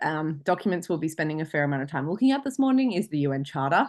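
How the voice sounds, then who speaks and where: Against a quiet background, a woman with an Australian accent speaks in a fairly low pitch with very wide pitch swings. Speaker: international law lecturer. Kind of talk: online lecture. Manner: fast.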